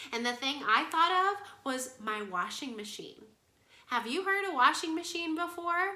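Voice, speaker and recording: An animated woman speaks in a raised, projected voice with lively intonation and a bright, sharp tone. Her fairly slow delivery carries audible room echo. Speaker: kindergarten music teacher. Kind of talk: online lesson for young children.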